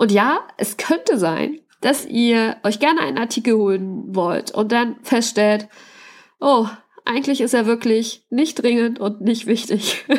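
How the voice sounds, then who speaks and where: Her pitch varies in an ordinary way. This woman speaks very slowly. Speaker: podcast host and teacher. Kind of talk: solo podcast monologue. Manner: casual, with many fillers.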